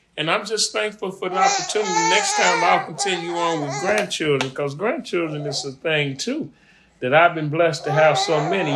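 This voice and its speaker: Male speech at a moderate pace over noticeable background noise. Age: 60s. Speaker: grandfather being interviewed. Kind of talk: family interview.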